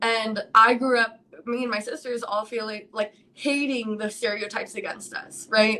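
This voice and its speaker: At a moderate pace, a woman with an American accent speaks in a fairly high, monotone, flat voice. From New York City. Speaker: live stream host. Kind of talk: casual live chat. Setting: live stream. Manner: loud.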